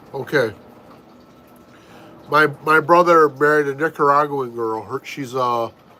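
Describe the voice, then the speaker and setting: This man with an American accent speaks in a fairly high pitch at a fairly slow pace, with long, frequent pauses and fairly even intonation. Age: 50s. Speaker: family vlogger. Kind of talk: casual live-stream chat.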